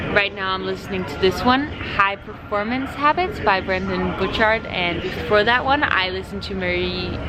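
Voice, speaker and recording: A woman with a slight non-native accent talks over background music, and the room echo is audible. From Denmark. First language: Danish. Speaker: fitness vlogger. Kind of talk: casual vlog.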